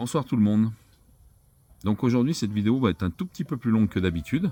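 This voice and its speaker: A man speaks at a medium pitch with a dark, mellow tone, the sound dry and close with no echo. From France. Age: 50s. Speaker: vlogger, former bus driver. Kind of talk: vlog introduction. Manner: casual, slightly halting.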